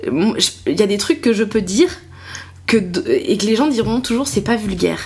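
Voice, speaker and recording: Keeping her loudness very even, a woman speaks at a moderate pace with a fairly high pitch that swings very widely. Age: 20s. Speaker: comedian. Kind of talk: casual chat. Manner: animated; halting.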